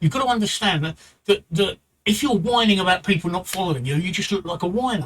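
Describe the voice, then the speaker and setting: A man with a strong British accent talks at a fairly quick pace in a high pitch. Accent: thick British. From London, England. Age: 60s. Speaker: Twitch streamer. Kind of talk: livestream advice talk. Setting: live stream, home. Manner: repetitive, halting.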